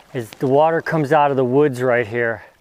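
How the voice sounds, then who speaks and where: At a moderate pace and with fairly even intonation, a man's fairly high voice comes through noticeable background noise. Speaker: fishing video host. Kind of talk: outdoor fishing tutorial vlog. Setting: outdoors by a river. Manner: quiet, not boisterous.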